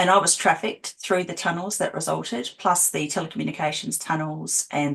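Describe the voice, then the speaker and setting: A woman speaks in an Australian accent with a very deep, low pitch. Her pace is fairly quick and her intonation fairly even. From Australia, Adelaide. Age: 40s. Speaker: abuse survivor and healer. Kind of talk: interview testimony.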